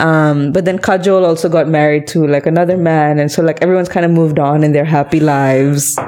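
A woman talks at a very fast pace with hardly any pauses, her pitch very deep and low and her intonation monotone and flat. Her loudness stays very even, with noticeable background noise behind her. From India, Karnataka; schooled in Malaysia. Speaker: podcast host. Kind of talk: casual chat. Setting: at home.

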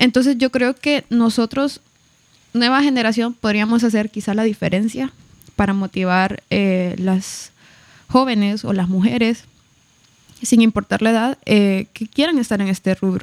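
A woman with a normal speaking voice talks at a fairly slow pace and a fairly high pitch. Her ordinary pitch variation comes through dry and close with no echo. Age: 20s (22). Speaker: student pilot. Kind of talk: casual interview.

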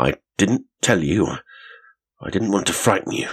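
A raspy, put-on character voice at a moderate pace, with a dry, close sound and no echo. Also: man, fairly low pitch for a man.

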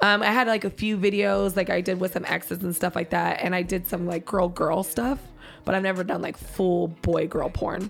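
Her voice shows vocal fry at a medium pitch. The woman keeps a fairly even intonation. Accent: American. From San Diego, California. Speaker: adult entertainer. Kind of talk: casual chat. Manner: fast.

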